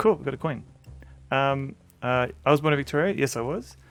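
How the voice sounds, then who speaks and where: A medium-pitched male voice with a Tasmanian accent and lively intonation, backed by music. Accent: Australian, somewhat Tasmanian. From Australia, Tasmania. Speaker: game streamer. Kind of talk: casual live-stream commentary. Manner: halting, many fillers.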